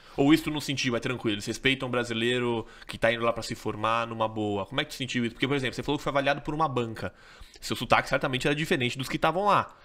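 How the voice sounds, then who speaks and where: The man rushes along at a very fast pace, his medium pitch shifting in an ordinary way. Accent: Brazilian. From Brazil. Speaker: podcast host, company CEO; podcast host. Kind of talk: podcast interview. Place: studio. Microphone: studio mic.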